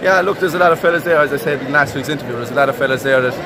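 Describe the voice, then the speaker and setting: Loud noise behind a male speaker. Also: dry sound with no echo. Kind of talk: interview answer. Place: stadium. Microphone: phone near.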